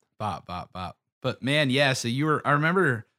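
A man with an American accent has a plain, everyday voice and lively intonation at a moderate pace. The recording is very clean with a silent background, and the sound is dry and close with no echo. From Pittsburgh, Pennsylvania. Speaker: podcast host. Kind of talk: casual chat.

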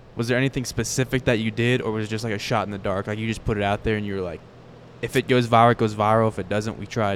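Very fast and with monotone, flat intonation, a man with an American accent talks at a fairly low pitch on a very clean recording with a silent background. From Florida, Fort Myers. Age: 20s. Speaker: podcast host. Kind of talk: casual interview chat. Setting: live at a country music venue.

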